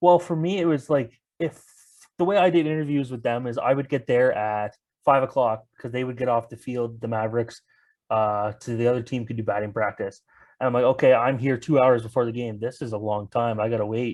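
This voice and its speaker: In a Canadian accent, a man with a plain, everyday voice speaks at a fairly quick pace and medium pitch, with ordinary pitch variation against a quiet background. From Ontario, Canada. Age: 20s. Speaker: sports reporter. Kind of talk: casual interview chat.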